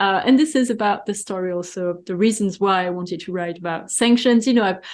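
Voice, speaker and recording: Speaking at a fairly quick pace, a woman with a French accent uses a medium pitch and ordinary pitch variation. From France. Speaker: economic forecaster and author. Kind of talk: interview.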